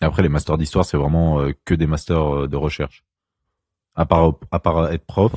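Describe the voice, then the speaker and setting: In a dry, close recording with no echo, a man with a very deep, low pitch talks at a moderate pace in a monotone, flat intonation. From France, Lyon area (Ain). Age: 20s. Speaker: podcast guest, baker with a history degree. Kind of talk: casual chat. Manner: hesitant, many fillers.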